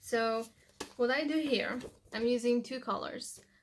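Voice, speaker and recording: A woman with a Polish accent speaks at a fairly slow pace and fairly high pitch, keeping her intonation fairly even. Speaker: language-learning vlogger. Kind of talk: tutorial. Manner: casual, with fillers.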